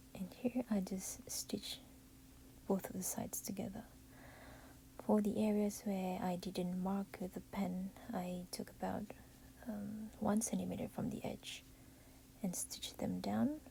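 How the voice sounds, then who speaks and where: A woman whispers quietly with vocal fry at a fairly slow pace. Her speech has long, frequent pauses. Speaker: parent making a baby costume. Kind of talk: DIY craft tutorial narration. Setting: at home while baby sleeps. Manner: whispery, quiet.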